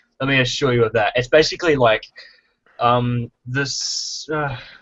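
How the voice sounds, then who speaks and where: Talking at a fairly slow pace, the speaker has an Australian accent. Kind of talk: casual chat. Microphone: causes echo.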